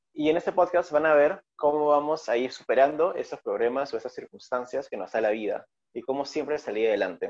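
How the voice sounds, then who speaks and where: Hardly any pauses from a man talking at a fairly quick pace. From Peru. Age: 20s. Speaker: podcast co-host. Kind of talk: casual chat.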